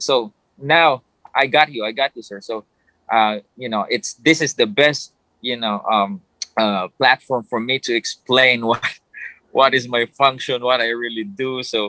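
A bright, sharp tone with ordinary pitch variation moves at a fairly slow pace in a dry, close recording with no echo. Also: man, medium pitch for a man. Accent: Filipino. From Philippines. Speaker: ring announcer. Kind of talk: casual interview. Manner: polite, halting with fillers.

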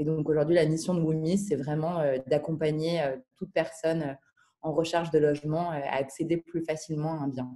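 This woman has a very deep, low pitch and a dark, mellow tone. Her intonation is monotone and flat, at a moderate pace. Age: 20s. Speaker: startup founder. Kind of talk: interview. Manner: hesitant, many filler words.

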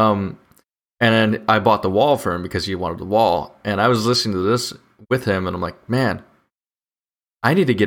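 The recording is very clean, with a silent background. An ordinary speaking voice moves at a fairly quick pace with ordinary pitch variation. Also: man. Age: 20s. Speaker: podcast host, engineering student. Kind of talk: casual chat. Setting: livestream studio.

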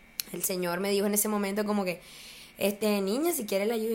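Against noticeable background noise, a woman with fairly high pitch talks at a very fast pace. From Colombia, small town. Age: 20s. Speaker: university student and social media user. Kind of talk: casual interview chat.

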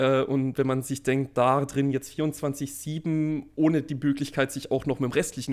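Medium pitch from a man at a fairly slow pace, in a very clean recording with a silent background. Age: 20s. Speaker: computer scientist and podcast co-host. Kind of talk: casual chat. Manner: halting, many fillers.

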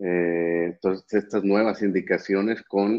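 At a very slow pace, a man speaks in a flat monotone with a very deep, low pitch. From Mexico, Monterrey. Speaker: neurologist and professor. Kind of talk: live-streamed interview.

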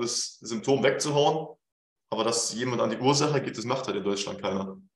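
With audible room echo behind it, the talking races along at a very fast pace. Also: man. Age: 20s. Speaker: fitness coach. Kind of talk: casual chat.

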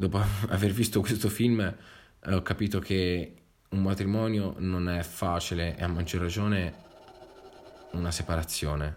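A man's very deep, low voice at a fairly slow pace, with fairly even intonation and long, frequent pauses. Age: 20s. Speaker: podcast host, film reviewer. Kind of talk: solo film review monologue.

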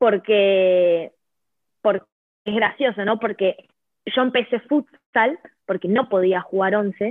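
In an Argentine accent, a woman speaks at a fairly high pitch with ordinary pitch variation. Her pace is very slow. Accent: Argentine Spanish (Rioplatense). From Argentina. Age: 20s. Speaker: futsal player. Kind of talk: interview. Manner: halting, many repetitions.

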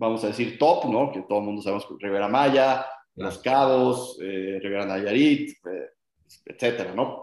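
The speaker is a man with a plain, everyday voice at medium pitch. He goes at a fairly slow pace with ordinary pitch variation. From Mexico, Guadalajara. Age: 30s. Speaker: short-term rental company executive. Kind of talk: interview.

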